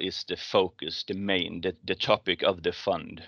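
Speaking at a moderate pace in a Swedish accent, a man uses a fairly low pitch, with a dry, close sound, no echo and a quiet background. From Sweden. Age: 40s. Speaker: fund manager. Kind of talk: interview.

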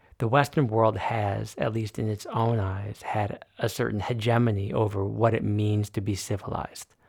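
Somewhat breathy and fairly low in pitch, a man speaks at a moderate pace with fairly even intonation and hardly any pauses. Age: middle-aged. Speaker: podcast host. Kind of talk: interview podcast.

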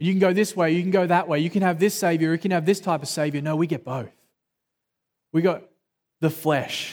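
On a very clean recording with a silent background, a man with an Australian accent and a high pitch talks at a fairly quick pace, using fairly even intonation and long, frequent pauses. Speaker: pastor. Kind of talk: sermon. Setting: church.

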